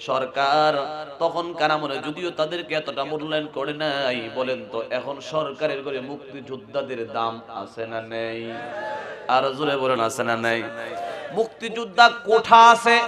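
Lively intonation over noticeable background noise. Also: man, fairly high pitch for a man. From Bangladesh, Narsingdi; Bangladesh. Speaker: Islamic preacher. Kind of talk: sermon. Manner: loud, shouting; animated. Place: stage. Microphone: podium.

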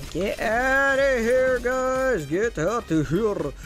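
A man uses a put-on character voice at an extremely high pitch, speaking at a very slow pace. Clear music is heard behind him.

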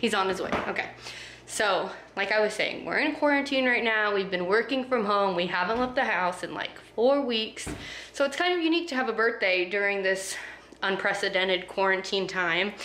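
Over light background noise and audible room echo, a woman speaks at a moderate pace. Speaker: vlogger. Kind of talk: casual vlog chat. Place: home room. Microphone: phone near.

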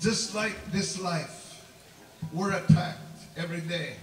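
Faint music plays in the background as a man with a high pitch speaks amid audible room echo. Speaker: preacher. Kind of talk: sermon. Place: tent. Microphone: camera far.

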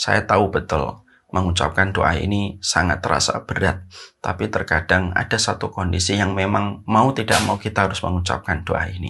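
Very deep and low in pitch, a man speaks with a bright, sharp tone at a moderate pace and fairly even intonation. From Indonesia. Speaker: Islamic preacher; religious teacher. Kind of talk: religious lecture. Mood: earnest, calm, gentle. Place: home room. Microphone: lapel.

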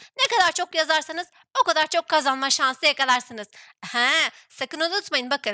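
A woman's raised, projected voice, high-pitched, bright and sharp, animated with lively intonation, in a dry, close sound with no echo. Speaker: gaming YouTuber. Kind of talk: casual let's-play chat; channel intro and outro. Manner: animated, laughing.

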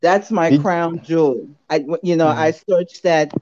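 A woman is speaking. The background is quiet. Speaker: caller. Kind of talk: casual chat. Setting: phone call. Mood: cheerful, smiling. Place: home room. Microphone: video call.

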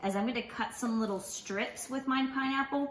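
Audible echo from the room surrounds the woman as she talks. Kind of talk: tutorial. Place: kitchen. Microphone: camera far.

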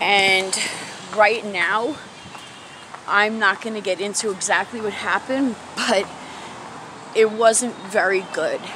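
With noticeable background noise behind her, a woman at medium pitch talks at a very slow pace with long, frequent pauses. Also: fairly even intonation. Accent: American. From New York City, Bronx. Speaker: vlogger and mother. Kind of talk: casual vlog, confessional life story about family hurt and recovery. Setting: outdoors, walking uphill. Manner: conversational, halting with fillers, candid and earnest.

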